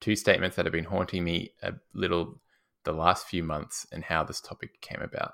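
Speaking at a moderate pace with an Australian accent, a man is heard on a very clean recording with a silent background. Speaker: podcast host, fitness trainer. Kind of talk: casual podcast chat.

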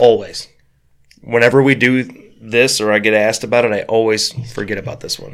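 A man talks at a fairly quick pace with monotone, flat intonation. He leaves long, frequent pauses, and his loudness swings widely. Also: medium pitch for a man. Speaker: podcast host. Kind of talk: casual chat. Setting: studio.

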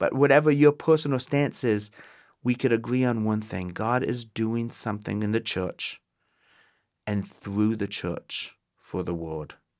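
In a very clean recording with a silent background, a man talks at a fairly slow pace with a plain, everyday voice at a medium pitch. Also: ordinary pitch variation. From Ontario, Canada. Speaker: pastor. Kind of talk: teaching podcast monologue.

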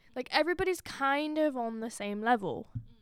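A high-pitched woman talks at a moderate pace, her pitch swinging very widely. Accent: southern English. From England, Oxford. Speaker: student podcast co-host. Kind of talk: casual chat.

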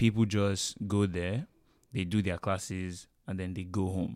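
On a very clean recording with a silent background, a man speaks with a Nigerian accent and fairly even intonation. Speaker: student podcast host. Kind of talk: casual chat.

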